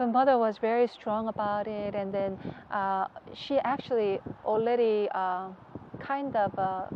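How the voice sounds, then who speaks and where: Speaking with a Korean accent, a woman uses a fairly high pitch, fairly even intonation and a fairly slow pace. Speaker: religious leader's wife. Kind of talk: interview. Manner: halting.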